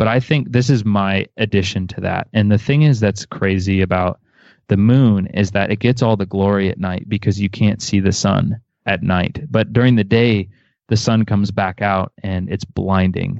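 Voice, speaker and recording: An ordinary speaking voice from a man, fairly low in pitch, with fairly even intonation at a moderate pace. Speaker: worship musician. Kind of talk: casual interview.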